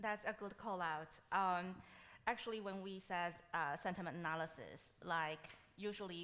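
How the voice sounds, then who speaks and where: A woman speaks at a fairly slow pace with a Taiwanese accent and fairly even intonation. Her voice is fairly low in pitch, with a bright, sharp tone. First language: Mandarin. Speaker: machine learning solutions architect, conference speaker. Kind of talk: conference Q&A.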